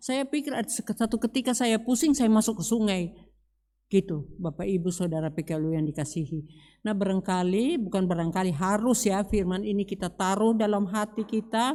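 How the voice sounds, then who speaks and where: A woman at a medium pitch speaks with lively intonation and a dark, mellow tone. The recording is very clean, with a silent background. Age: 70s. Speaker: church deacon preaching. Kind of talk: sermon. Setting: church service.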